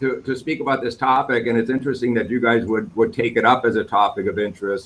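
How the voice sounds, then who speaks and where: Speaking fairly quickly with an American accent, a man uses a medium pitch and lively intonation. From Wisconsin, US Midwest. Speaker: war veteran. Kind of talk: q&a. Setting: video call. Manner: halting.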